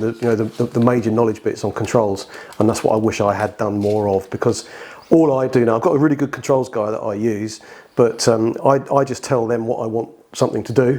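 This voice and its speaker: A man with a British accent, medium in pitch, at a fairly quick pace with fairly even intonation. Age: 50s. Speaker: heating design engineer. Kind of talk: podcast interview. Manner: halting, many repeated words.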